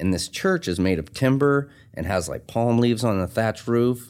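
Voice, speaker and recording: On a very clean recording with a silent background, a man speaks at a moderate pace with lively intonation. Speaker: tattoo artist and shop owner. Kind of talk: casual interview chat, life story. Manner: rough, casual language.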